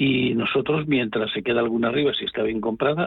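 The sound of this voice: The man's voice sits at a medium pitch. He talks at a very fast pace.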